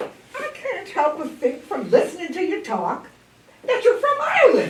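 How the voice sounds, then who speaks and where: At a moderate pace, a woman uses a put-on character voice pitched extremely high, with very wide pitch swings and a slight echo. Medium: stage play. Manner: gushing, exclamatory.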